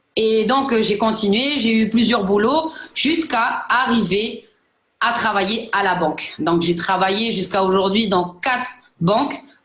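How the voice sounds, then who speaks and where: A woman speaks at a fairly slow pace with very even loudness. Her pitch is fairly high, and the room echo is audible. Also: ordinary pitch variation. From New Caledonia. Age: 30s. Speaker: network marketing entrepreneur. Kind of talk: personal testimony. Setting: online live broadcast. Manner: hesitant, many fillers.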